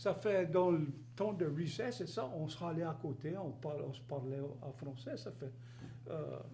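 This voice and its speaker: Amid audible room echo, a man talks fairly slowly at a fairly high pitch with ordinary pitch variation. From Louisiana, rural Cajun area near Gueydan. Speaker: interview guest. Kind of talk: casual interview.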